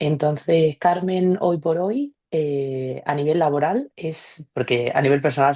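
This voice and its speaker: In a Sevillian accent, a woman speaks with a very deep, low pitch and a dark, mellow tone. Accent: Andalusian (Seville). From Seville, Andalusia, Spain. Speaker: former researcher, business development specialist. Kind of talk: career testimony in online meetup. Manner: casual, with fillers.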